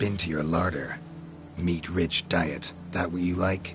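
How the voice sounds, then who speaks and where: A man's very deep, low put-on character voice at a fairly slow pace, with clear background noise. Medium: video game. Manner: terse, deadpan.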